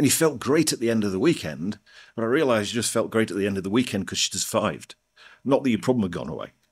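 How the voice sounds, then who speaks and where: A man with an East Midlands accent talks at a very fast pace. His pitch is medium and his intonation is lively. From northern England, North Nottinghamshire (Mansfield). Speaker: NLP trainer. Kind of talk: interview.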